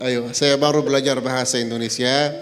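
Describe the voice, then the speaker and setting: Over music in the background and with audible room echo, a man talks at a moderate pace in a medium-pitched voice with fairly even intonation. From Palestine. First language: Arabic (speaking Indonesian). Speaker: visiting Palestinian sheikh. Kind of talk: religious talk. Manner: halting, non-fluent Indonesian.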